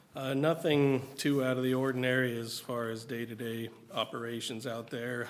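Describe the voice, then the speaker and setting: A man talks at a medium pitch with monotone, flat intonation. Noticeable background noise runs behind him. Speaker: solid waste director. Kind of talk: meeting report. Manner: halting, many fillers.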